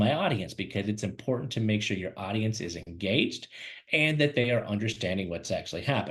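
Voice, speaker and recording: Here a man talks at a fairly quick pace at medium pitch. His voice is somewhat breathy. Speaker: career webinar host and recruiter. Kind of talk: webinar presentation. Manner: fast; animated.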